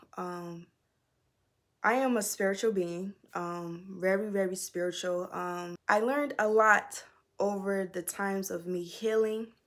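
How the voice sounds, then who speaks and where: A woman with medium pitch speaks in an American accent at a fairly slow pace. Her intonation is fairly even, on a very clean recording with a silent background. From Virginia, Newport News area. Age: 20s. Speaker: vlogger. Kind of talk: storytime monologue. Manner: halting, many fillers.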